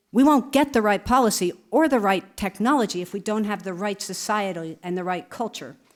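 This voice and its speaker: Speaking in an ordinary speaking voice with an American accent, a woman at medium pitch talks at a fairly quick pace with lively intonation and hardly any pauses, on a very clean recording with a silent background. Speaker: museum director. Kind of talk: conference Q&A answer. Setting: conference with audience.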